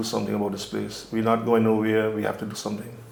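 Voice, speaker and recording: A man with an Anguillian accent speaks at medium pitch, monotone and flat. Audible room echo and noticeable background noise surround him. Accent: Anguillian Caribbean English. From Anguilla. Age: 70s. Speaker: community elder. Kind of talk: oral history interview. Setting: on location.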